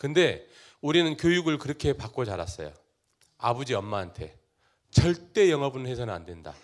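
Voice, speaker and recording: With an animated tone, a man at a medium pitch swings his voice very widely, his words edged with vocal fry and broken by long, frequent pauses, on a very clean recording with a silent background. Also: moderate pace, big swings in loudness. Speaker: company CEO. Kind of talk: talk show interview before live audience.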